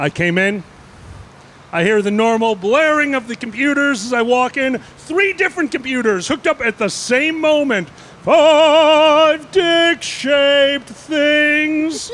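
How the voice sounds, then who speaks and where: An extremely high-pitched male voice, lively in intonation and fairly slow in pace, over noticeable background noise. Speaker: panelist working on a trading desk. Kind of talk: casual panel storytelling. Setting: basement room with other panelists.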